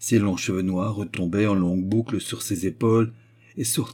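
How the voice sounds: Fairly even intonation in a natural reading voice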